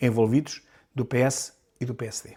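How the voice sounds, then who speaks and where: Very slowly, a man with a European Portuguese accent speaks in a dark, mellow tone on a very clean recording with a silent background. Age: 60s. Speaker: political commentator, deputy. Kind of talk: news commentary monologue. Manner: animated.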